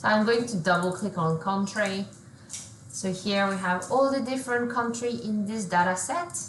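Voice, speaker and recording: Audible room echo surrounds a woman speaking at a moderate pace. Her medium pitch rises and falls with lively intonation. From France. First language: French. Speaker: solution engineer. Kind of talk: software demo.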